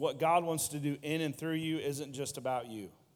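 A man with a plain, everyday voice speaks at a moderate pace. His pitch is fairly high. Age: 30s. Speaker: youth pastor. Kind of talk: sermon.

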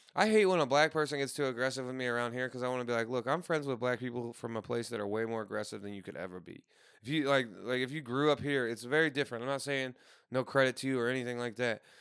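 A man with an American accent, very fast and animated, at medium pitch with ordinary pitch variation, in a very clean recording over a silent background. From Saint Louis area, US Midwest. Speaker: podcast host. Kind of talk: casual chat. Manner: animated, joking.

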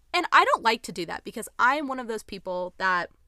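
An animated, bright and sharp voice at a very fast pace, on a very clean recording with a silent background. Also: woman. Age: 20s. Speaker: podcast host. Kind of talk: casual solo monologue.

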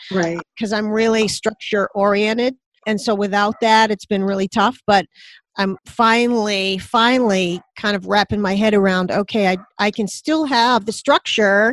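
A woman with a plain, everyday voice speaks at a medium pitch and a moderate pace, with fairly even intonation. The background is quiet, and the sound is dry and close with no echo. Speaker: coach and speaker. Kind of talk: casual interview chat.

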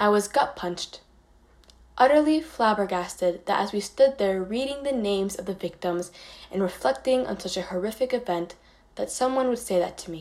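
In an American accent, a woman with a plain, everyday voice talks at a moderate pace, her medium pitch carried by lively intonation. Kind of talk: prepared personal essay read aloud.

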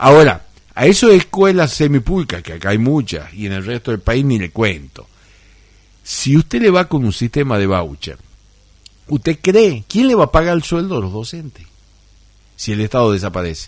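At a moderate pace, a man speaks at medium pitch with very wide pitch swings. Long, frequent pauses break up his delivery. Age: 60s. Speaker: lawyer and radio co-host. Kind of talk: radio political commentary. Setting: radio studio. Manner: halting with frequent repetitions.

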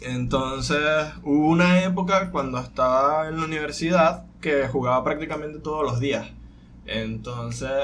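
This is an unremarkable speaking voice at a fairly slow pace. Its intonation is fairly even. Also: man, fairly high pitch for a man. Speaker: podcast co-host. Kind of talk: casual chat.

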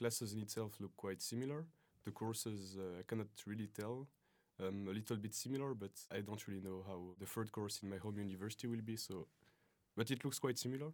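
Talking at a fairly quick pace with long, frequent pauses, this man has a fairly low pitch and ordinary pitch variation. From French-speaking Switzerland (Lausanne area). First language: French (speaking Russian). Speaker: exchange student. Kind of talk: interview.

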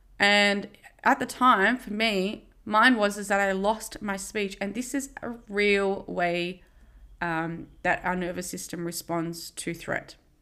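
At a very slow pace, a woman with an Australian accent speaks at medium pitch in a bright, sharp tone with ordinary pitch variation, on a very clean recording with a silent background. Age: 30s. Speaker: podcast host. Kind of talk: personal monologue. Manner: casual, with frequent fillers.

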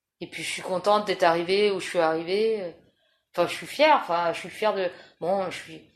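A woman talks at a fairly quick pace, her pitch moving in an ordinary way. Her loudness swings widely. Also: medium pitch for a woman. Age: 40s. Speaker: interviewee. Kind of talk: personal testimony interview. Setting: at her home. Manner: halting.

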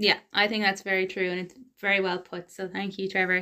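Bright and sharp in tone, a woman's voice sits at a medium pitch with an Irish accent. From Ireland. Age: young. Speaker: podcast host. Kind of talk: casual interview. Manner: animated.

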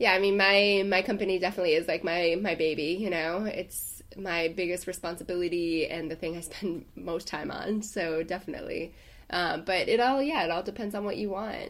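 A plain, everyday voice moves at a fairly quick pace, its pitch varying in an ordinary way. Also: woman, medium pitch for a woman. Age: 20s. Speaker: podcast co-host, boudoir photographer. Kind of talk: casual chat.

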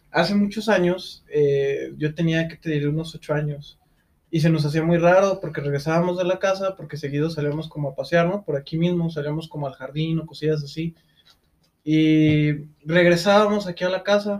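A man with a Mexican accent speaks at a fairly high pitch and a moderate pace. His intonation is fairly even. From Mexico. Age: 20s. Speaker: podcast co-host. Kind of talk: casual chat.

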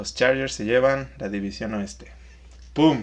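A man with a Mexican accent at a fairly slow pace against a quiet background. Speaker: podcast co-host, accountant. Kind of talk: casual chat.

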